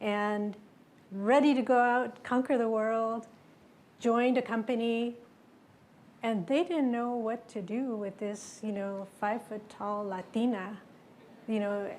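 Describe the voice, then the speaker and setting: With long, frequent pauses, a woman speaks at a fairly slow pace and fairly high pitch, keeping her intonation fairly even. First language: Spanish. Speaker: tech executive. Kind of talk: panel discussion.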